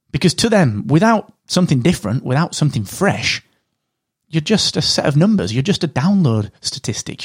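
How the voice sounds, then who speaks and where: A man talks at a fairly quick pace in a somewhat breathy voice, his pitch swinging very widely. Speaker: podcast host and podcasting company founder. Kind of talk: solo podcast talk with educational advice. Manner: fast talker; straight-talking.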